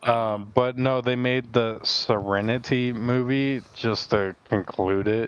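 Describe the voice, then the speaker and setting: A man speaks at a very slow pace with hardly any pauses. His medium-pitched voice is monotone, with flat intonation. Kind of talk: casual chat. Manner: halting, stuttering.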